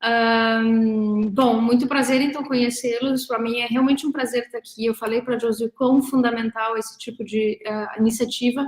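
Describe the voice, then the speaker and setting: A woman talks at a moderate pace with hardly any pauses. Her fairly high voice stays monotone and flat. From southern Brazil, Rio Grande do Sul (Três Passos, Porto Alegre). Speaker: researcher and professor. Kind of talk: online talk about academic career. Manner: hesitant with fillers.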